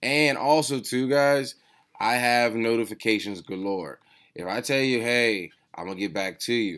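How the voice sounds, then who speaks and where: A man's ordinary speaking voice with an American accent, medium in pitch and ordinary in pitch variation, at a moderate pace in a very clean recording with a silent background. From Washington DC. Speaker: podcast host, sneaker reseller. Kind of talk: casual chat.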